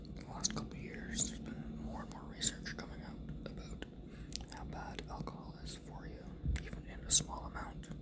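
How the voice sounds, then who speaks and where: Whispering at a moderate pace, a man's loudness swings widely, with noticeable background noise behind him. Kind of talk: ASMR whisper ramble, casual talk to camera. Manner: whispered, lo-fi.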